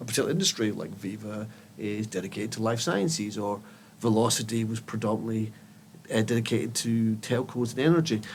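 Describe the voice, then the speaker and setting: The talking moves at a fairly quick pace. It is delivered in a Scottish accent. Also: man. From Scotland. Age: 50s. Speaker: tech company CEO. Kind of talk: podcast interview. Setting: studio.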